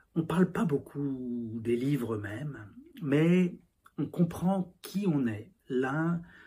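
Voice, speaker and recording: A man speaks very slowly at a fairly high pitch, with lively intonation. His tone is dark and mellow, and somewhat breathy. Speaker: novelist. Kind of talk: interview monologue. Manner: halting, many fillers and repetitions.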